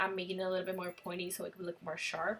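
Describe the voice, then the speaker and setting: A woman talks while music plays in the background. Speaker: beauty vlogger. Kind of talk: makeup tutorial voiceover.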